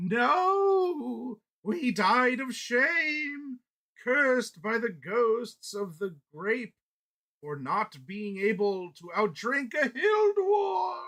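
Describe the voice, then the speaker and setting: A man's put-on character voice, whiny and extremely high-pitched, at a very slow pace. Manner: mournful, mock-tragic wail.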